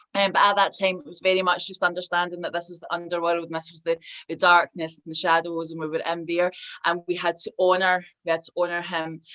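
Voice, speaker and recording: A woman speaks very fast in a Scottish accent, her fairly low voice bright and sharp in tone. Her intonation stays monotone and flat while her loudness swings widely. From Scotland. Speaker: hypnotherapist and tarot reader. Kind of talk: interview answer. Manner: hesitant, with many fillers.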